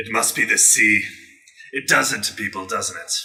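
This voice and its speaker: A man uses a put-on character voice. His voice is raspy. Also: moderate pace. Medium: actual play. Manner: sly, friendly.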